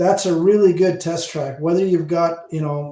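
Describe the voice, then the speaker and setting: A man with an Ontario accent speaks at a moderate pace with fairly even intonation. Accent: Hamilton Ontario. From Canada, Hamilton, Ontario. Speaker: audio channel host. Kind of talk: casual livestream chat with viewers. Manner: halting, many false starts.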